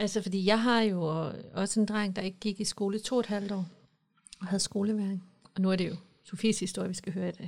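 Speaking at a fairly quick pace, a woman keeps a medium pitch and a monotone, flat intonation. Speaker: podcast host. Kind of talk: casual chat. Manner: emotional, gets worked up.

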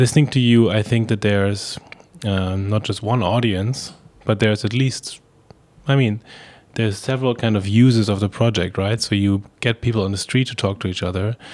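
At a moderate pace, a man with a plain, everyday voice speaks at a fairly low pitch with fairly even intonation. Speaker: podcast host. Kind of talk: interview conversation.

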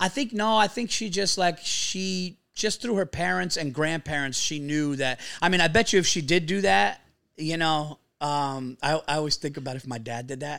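Lively intonation and an animated tone come through in a bright, sharp voice with a New York accent at a moderate pace. The recording is very clean, the background silent. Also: man, fairly high pitch for a man. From New York area. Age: 40s. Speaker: stand-up comedian. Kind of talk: casual podcast interview. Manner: animated, profane storyteller.

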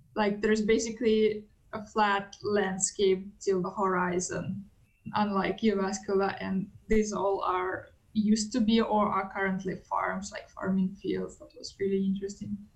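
Somewhat breathy, this voice in a Russian accent moves at a moderate pace with monotone, flat intonation and big swings in loudness. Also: woman, medium pitch for a woman. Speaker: international student. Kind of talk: podcast interview.

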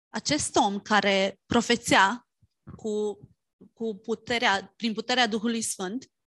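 A woman speaks with a Romanian accent. Her pitch is fairly high and her intonation fairly even. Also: fairly slow pace, dry, close sound with no echo. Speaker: interpreter. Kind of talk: sermon interpretation.

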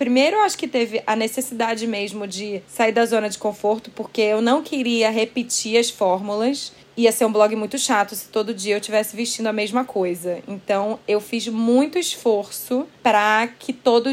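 A woman's voice, a normal speaking voice, sits fairly high in pitch and moves at a moderate pace with fairly even intonation. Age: 30s. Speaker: author and former blogger. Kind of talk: casual interview chat.

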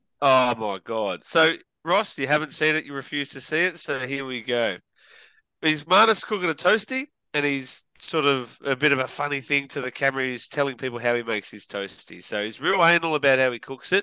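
A man with an Australian accent speaks fairly quickly at a fairly high pitch, with lively intonation. His tone is bright and sharp against a quiet background. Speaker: podcast co-host. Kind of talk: casual chat.

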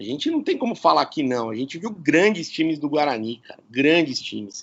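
This man talks with lively intonation and vocal fry. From Campinas, São Paulo state, Brazil. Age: 40s. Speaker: radio presenter. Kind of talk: casual interview chat. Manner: animated.

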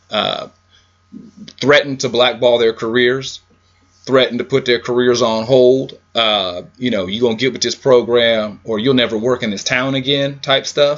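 The man talks at a moderate pace with a medium pitch. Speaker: podcast host. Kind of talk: casual banter podcast. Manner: animated.

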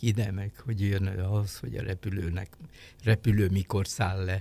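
On a very clean recording with a silent background and a dry, close sound without echo, a man speaks slowly-ish at a fairly slow pace in a dark, mellow, somewhat breathy voice of fairly low pitch. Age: 80s+. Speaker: sinologist and retired diplomat. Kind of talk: interview. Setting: studio.

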